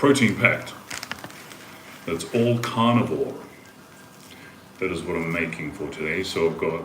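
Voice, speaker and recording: Amid noticeable background noise and audible room echo, a man with a New Zealand accent speaks at a moderate pace in a very deep, low voice with lively intonation and long, frequent pauses. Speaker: livestreamer. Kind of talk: casual chat.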